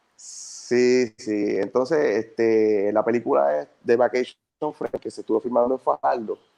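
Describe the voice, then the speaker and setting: A man with a medium pitch and a dark, mellow tone speaks at a fairly slow pace with lively intonation, hardly any pauses, and a dry, close sound with no echo. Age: 30s. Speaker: actor. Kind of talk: casual interview.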